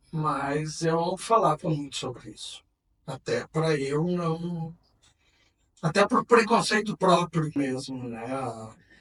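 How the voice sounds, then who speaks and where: With lively intonation and big swings in loudness, a man speaks very slowly at a fairly high pitch. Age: 60s. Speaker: HIV activist. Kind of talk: testimony. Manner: halting.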